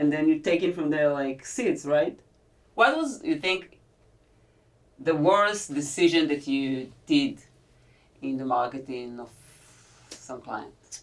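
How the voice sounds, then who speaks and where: A woman with an Israeli accent speaks at a very slow pace in a very deep, low pitch, with ordinary pitch variation, big swings in loudness, and long, frequent pauses. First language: Hebrew. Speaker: podcast host. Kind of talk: podcast interview. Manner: halting.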